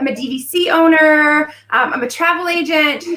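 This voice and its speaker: A woman's raised, projected voice at a fairly slow pace with ordinary pitch variation. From California. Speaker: travel agent, YouTuber. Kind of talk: casual live chat.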